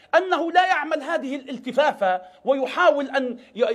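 A man with an extremely high pitch and lively intonation, set against a quiet background. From Libya. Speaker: political analyst. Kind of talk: televised political debate. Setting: remote satellite link to studio. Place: studio.

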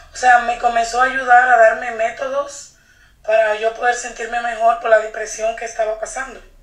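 Noticeable background noise sits behind a woman with a fairly high voice. She talks at a moderate pace with monotone, flat intonation. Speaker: psychic channeler. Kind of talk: casual chat. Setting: phone call.

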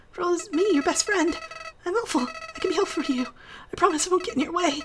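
An extremely high-pitched, put-on character voice. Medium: virtual streamer. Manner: panicked, wheedling, begging.

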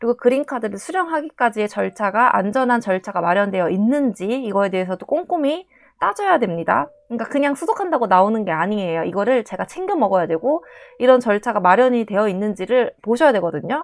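Very fast speech from a woman, fairly high in pitch, with very wide pitch swings. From South Korea. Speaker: nurse. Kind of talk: casual vlog talk.

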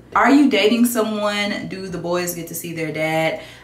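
A woman speaks with ordinary pitch variation over light background noise and audible room echo. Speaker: beauty vlogger. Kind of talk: casual vlog chat, Q&A. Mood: relaxed, candid, playful. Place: home room. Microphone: phone near.

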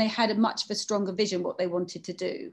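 A woman talks at a very fast pace with fairly even intonation. The background is quiet. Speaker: fashion brand founder and creative director. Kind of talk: panel conversation. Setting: video call. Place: shop. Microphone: video call.

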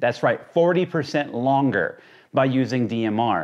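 A man at medium pitch, with lively intonation, a slightly mellow tone and a moderate pace

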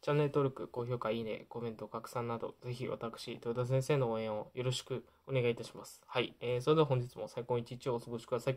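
A man talks at a very fast pace. His intonation is monotone and flat, over a quiet background. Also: hardly any pauses, big swings in loudness. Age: 20s. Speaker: YouTuber sharing life lessons. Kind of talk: casual vlog talk to camera. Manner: hesitant, many fillers. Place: home room.

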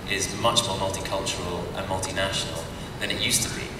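Loud background noise fills this recording of a man. Audible room echo is present as well. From Britain. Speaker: actor. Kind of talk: convention panel answer. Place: hall.

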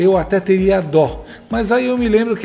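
Against faint music in the background, a man talks at a high pitch with ordinary pitch variation. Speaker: political commentator. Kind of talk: political commentary narration. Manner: sarcastic, mocking. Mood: mocking, sarcastic. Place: home room. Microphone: studio mic.

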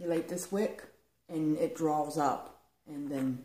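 Audible room echo surrounds this woman's voice. Her pitch is very deep and low, with ordinary pitch variation. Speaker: home vlogger. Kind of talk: casual vlog chat. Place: home room. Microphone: camera far.

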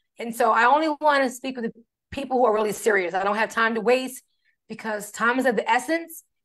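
Against a quiet background, a woman talks at a very fast pace with a fairly high pitch and an animated tone. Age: 40s. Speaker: fitness coach. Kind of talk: casual livestream chat. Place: home room. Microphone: video call.

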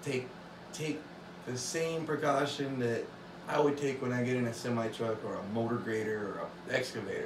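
A man at a moderate pace with ordinary pitch variation, against noticeable background noise. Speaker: hobby woodworker vlogger. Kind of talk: casual vlog chat. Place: workshop.

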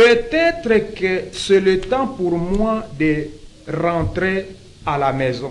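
Very slowly, a man speaks at a high pitch. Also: lively intonation. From DR Congo. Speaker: pastor. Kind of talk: talk show interview; talk show commentary. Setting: studio. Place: studio. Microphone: lapel.

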